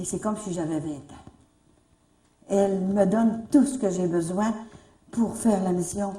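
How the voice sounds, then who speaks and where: In audible room echo, a woman with a medium-pitched, somewhat breathy, dark and mellow voice talks at a moderate pace. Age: 70s. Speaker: religious retreat leader. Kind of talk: religious talk to a gathering.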